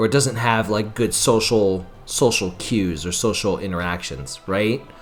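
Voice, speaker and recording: Music plays behind a man who speaks fairly slowly in a fairly low voice with ordinary pitch variation. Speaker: gaming YouTuber. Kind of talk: let's play commentary. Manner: halting; casual.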